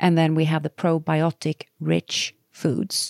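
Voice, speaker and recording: The voice has a dark, mellow tone and a Swedish accent. The sound is dry and close, with no echo. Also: woman, very clean recording, silent background. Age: 60s. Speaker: health author. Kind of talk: casual chat.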